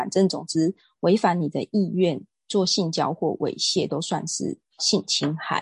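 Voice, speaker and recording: At a fairly slow pace, the somewhat breathy voice shows ordinary pitch variation in a dry, close sound with no echo and a quiet background. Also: woman. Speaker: real estate agent and wellness lecturer. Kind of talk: casual interview.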